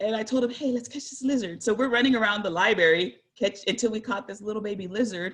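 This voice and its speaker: A woman speaks with an American accent in an ordinary speaking voice. Her pitch sits fairly high. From San Jose, California. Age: 40s. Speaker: guest speaker. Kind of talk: presentation. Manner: casual.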